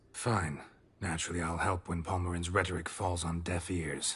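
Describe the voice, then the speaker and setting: In a put-on character voice, a man talks with a very deep, low pitch, a raspy sound, a deadpan tone and monotone, flat intonation at a moderate pace. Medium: video game. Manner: terse, deadpan.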